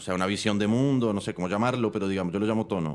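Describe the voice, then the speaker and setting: A man's voice comes through at a fairly low pitch and a very fast pace. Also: very clean recording, silent background. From Colombia. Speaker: film director and screenwriter. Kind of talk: interview. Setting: studio. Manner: halting, many fillers.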